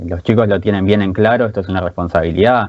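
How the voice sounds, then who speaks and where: A man with a Rioplatense accent speaks in a fairly low voice with fairly even intonation. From Buenos Aires, Argentina. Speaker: esports coach and player. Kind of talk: casual interview.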